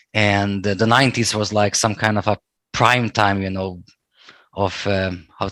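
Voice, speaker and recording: With a Serbo-Croatian accent, a man speaks in a bright, sharp tone at a fairly low pitch. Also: very clean recording, silent background. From Bosnia. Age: 30s. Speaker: political history enthusiast. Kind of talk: casual chat.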